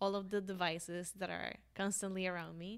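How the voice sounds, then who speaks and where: A woman's voice with a Colombian accent and monotone, flat intonation. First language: Spanish. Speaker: podcast host. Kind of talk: casual interview chat.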